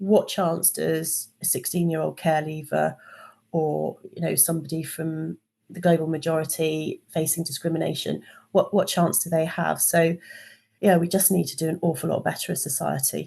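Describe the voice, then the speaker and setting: A woman speaks at a moderate pace, fairly low in pitch with a dark, mellow tone and vocal fry. Her intonation stays fairly even. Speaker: engineering and HR consultant. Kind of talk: podcast interview.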